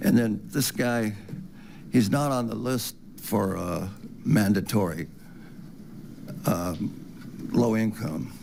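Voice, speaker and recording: Fairly low male voice with vocal fry, a very slow pace, ordinary pitch variation, long and frequent pauses, and audible room echo. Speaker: public commenter. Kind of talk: public comment. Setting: city council meeting.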